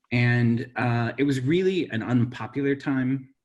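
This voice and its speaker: Somewhat breathy male speech at a medium pitch with an American accent and fairly even intonation. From Central Valley, California. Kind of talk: virtual panel discussion. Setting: virtual event.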